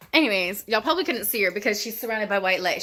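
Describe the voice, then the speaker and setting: With a Texan accent, a woman speaks at a medium pitch in a bright, sharp tone. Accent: Texan Southern US. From Texas, small town. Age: 20s. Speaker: YouTuber. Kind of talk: Q&A casual vlog. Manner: casual, rambling chatty.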